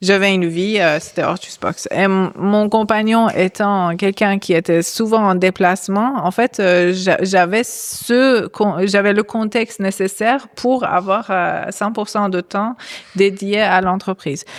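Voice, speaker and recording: A very slow woman's voice of medium pitch with fairly even intonation and hardly any pauses. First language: not French (speaking French). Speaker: former startup founder. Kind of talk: live panel discussion. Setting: stage with audience. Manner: hesitant, many fillers.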